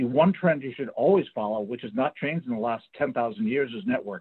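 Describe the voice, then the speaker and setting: The pace is fairly quick. Pitch swings are very wide. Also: man. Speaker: career coach. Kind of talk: panel discussion. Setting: video call.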